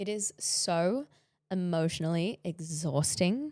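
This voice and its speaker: In a very clean recording with a silent background, a woman's dark, mellow voice sits at a fairly low pitch, with a dry, close sound and no echo. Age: 20s. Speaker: podcast host. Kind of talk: solo podcast monologue.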